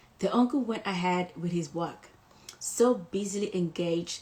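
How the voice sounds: It's a natural reading voice with ordinary pitch variation.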